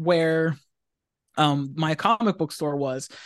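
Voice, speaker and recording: Against a quiet background, a man uses a normal speaking voice with fairly high pitch and ordinary pitch variation. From Pennsylvania, US. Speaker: comic book writer. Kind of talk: casual interview. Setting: video call.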